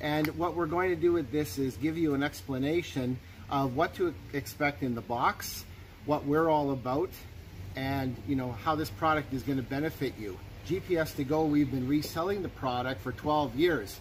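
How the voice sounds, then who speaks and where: A man at a moderate pace, with ordinary pitch variation and light background noise. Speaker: equipment reseller. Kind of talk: tutorial. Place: open country.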